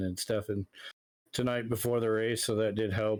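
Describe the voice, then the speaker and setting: A man with a northern US accent speaks at a moderate pace, his pitch fairly low and his intonation fairly even. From Michigan. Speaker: sim racing driver. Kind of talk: post-race interview.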